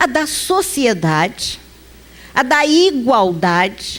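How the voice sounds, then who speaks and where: The speaker is a woman. Very wide swings run through her pitch. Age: 50s. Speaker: spiritist lecturer. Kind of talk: lecture. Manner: conversational.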